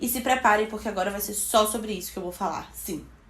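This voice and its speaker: Her pitch fairly high and its variation ordinary, a woman is speaking. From Bahia, Brazil. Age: 20s. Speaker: beauty vlogger. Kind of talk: casual talk to camera.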